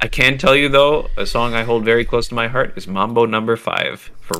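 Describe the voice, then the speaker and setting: Speaking in a plain, everyday voice with a Canadian accent, the man goes at a fairly quick pace with ordinary pitch variation. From Canada. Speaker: video game composer. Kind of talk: casual interview.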